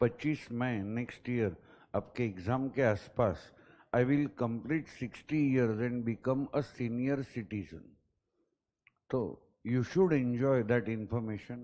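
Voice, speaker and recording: The man's pitch is medium. His voice has a dark, mellow tone. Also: ordinary pitch variation. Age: 50s. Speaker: teacher. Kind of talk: lecture. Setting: classroom. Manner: mix of Hindi and English.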